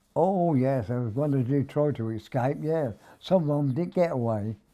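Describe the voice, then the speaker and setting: At a fairly slow pace, a man with a fairly high pitch and a dark, mellow tone talks with ordinary pitch variation in a very clean recording with a silent background. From Wargrave, Berkshire, England. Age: 80s+. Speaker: war veteran. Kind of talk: interview answer. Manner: hesitant.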